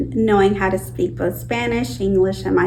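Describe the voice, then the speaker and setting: Audible room echo and noticeable background noise around a woman talking at a medium tempo. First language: Purepecha. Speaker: outreach worker. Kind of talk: documentary interview.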